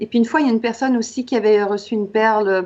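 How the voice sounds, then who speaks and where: With ordinary pitch variation, the words pour out at a very fast pace. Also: woman. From Quebec. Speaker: author and coach. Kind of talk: interview.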